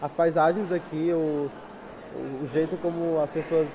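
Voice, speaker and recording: Amid noticeable background noise, a man talks at a fairly slow pace in a high pitch. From Brazil. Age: 20s. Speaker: exchange student. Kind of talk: interview.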